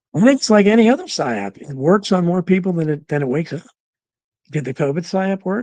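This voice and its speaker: In a dry, close recording with no echo, a man with a dark, mellow tone swings his pitch very widely. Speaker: talk show host. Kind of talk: live stream chat reading viewer comments. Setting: live stream. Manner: halting, many fillers.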